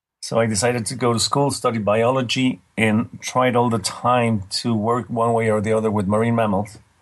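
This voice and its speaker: With a Spanish accent, a man speaks at a moderate pace and medium pitch, his intonation fairly even, his loudness very even, and hardly any pauses. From Mexico. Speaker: marine mammal scientist. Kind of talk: interview. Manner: halting.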